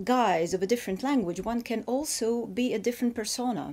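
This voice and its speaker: A woman with a Russian accent speaks at a fairly slow pace in a dark, mellow tone, her fairly high pitch showing ordinary variation. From Ukraine. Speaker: fiction writer. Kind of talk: interview. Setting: in Paris. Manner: halting, with false starts.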